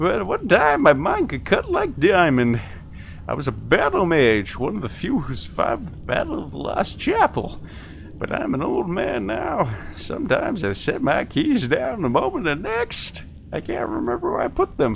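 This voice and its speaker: A man performs a put-on character voice at a moderate pace. Clear background noise is present. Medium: actual play. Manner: rambling, hesitant, easily distracted.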